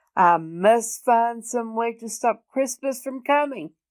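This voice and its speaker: A growling put-on character voice comes at a fairly slow pace on a very clean recording with a silent background. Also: woman, fairly high pitch for a woman. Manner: growling, scheming.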